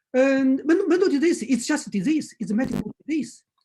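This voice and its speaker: Speaking at a moderate pace, a man swings his pitch very widely. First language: Chinese. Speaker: acupuncture teacher. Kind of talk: lecture. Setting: video call. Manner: halting.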